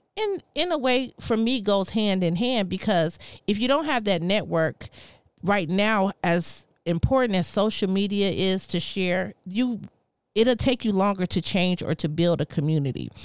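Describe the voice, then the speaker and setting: A woman with an American accent and an ordinary speaking voice talks at a fairly slow pace and medium pitch, her intonation lively. Her loudness stays very even, and the recording is very clean with a silent background. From US West Coast. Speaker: entrepreneur. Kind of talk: casual chat.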